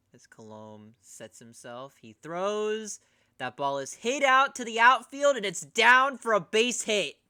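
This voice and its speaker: A man with an American accent uses a raised, projected voice at a high pitch, with very wide pitch swings and a fairly slow pace. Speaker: streamer doing live baseball commentary. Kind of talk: live commentary. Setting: live stream.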